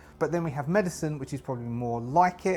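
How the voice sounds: A man talks at a fast pace in a fairly high pitch. His tone is slightly mellow, with ordinary pitch variation.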